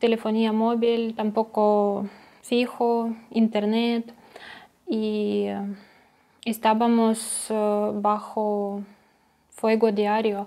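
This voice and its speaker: Very slowly, a woman speaks at a fairly high pitch with monotone, flat intonation. Her tone is dark and mellow. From Ukraine, Donetsk; Ukraine. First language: Ukrainian or Russian (speaking Spanish). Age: 20s. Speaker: refugee. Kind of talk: testimony. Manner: halting, many hesitations. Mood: calm, serious, subdued. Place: home room. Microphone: lapel.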